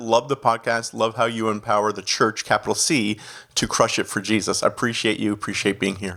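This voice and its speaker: A man with a slight Canadian accent talks at a fairly quick pace. His medium-pitched voice has a bright, sharp tone. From Canada. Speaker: executive pastor. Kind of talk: podcast interview.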